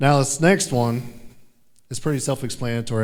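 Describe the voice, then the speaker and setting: A man speaks with an American accent at a medium pitch, with ordinary pitch variation. The room echo is audible. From Kansas, Topeka. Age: 30s. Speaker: sheriff's deputy and storm chaser. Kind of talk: conference presentation.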